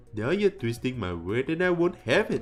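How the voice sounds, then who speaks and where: Using a put-on character voice, a woman speaks at a moderate pace and a fairly low pitch, her pitch swinging very widely against clear background noise. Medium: game stream. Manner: smug, preening.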